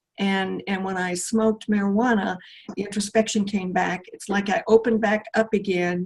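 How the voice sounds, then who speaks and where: A woman speaks at a moderate pace and a medium pitch. Her voice is somewhat breathy, with fairly even intonation. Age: 70s. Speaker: retired computer professional, spiritual seeker. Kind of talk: casual interview chat. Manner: halting, many fillers and restarts.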